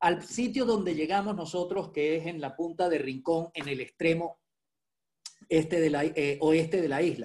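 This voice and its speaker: This man has a high voice, speaks at a moderate pace, and shows ordinary pitch variation. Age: 60s. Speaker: surfer and architect. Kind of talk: interview storytelling.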